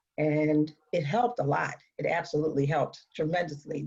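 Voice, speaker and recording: Somewhat breathy and very deep in pitch, a woman talks with an American accent and fairly even intonation. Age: 60s. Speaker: patient advocate living with metastatic breast cancer. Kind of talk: panel discussion. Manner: halting.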